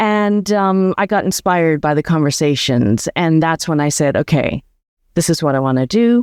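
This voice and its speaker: A woman with a normal speaking voice talks at a moderate pace and a fairly low pitch, with lively intonation, very even loudness, a quiet background and a dry, close sound with no echo. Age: 60s. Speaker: former veterinarian turned nomad and community founder. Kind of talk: interview conversation.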